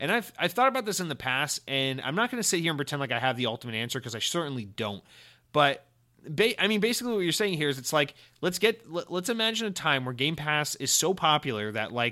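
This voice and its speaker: In a very clean recording with a silent background, a man with an American accent speaks fairly quickly in a bright, sharp tone at a fairly high pitch with very wide pitch swings. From US South, Georgia. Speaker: podcast host. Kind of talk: casual chat. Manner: animated.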